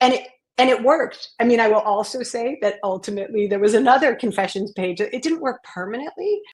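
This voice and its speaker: Using a plain, everyday voice, a woman with an American accent talks at a fairly quick pace, fairly high in pitch with ordinary pitch variation. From US Northeast, Maine. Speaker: educator and school belonging consultant. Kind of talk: interview.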